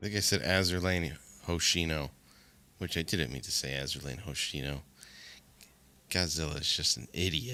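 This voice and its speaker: A man with a very deep, low voice, bright and sharp in tone with vocal fry, speaks at a moderate pace with long, frequent pauses and ordinary pitch variation in a very clean recording with a silent background. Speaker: esports caster. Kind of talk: live commentary. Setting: live stream.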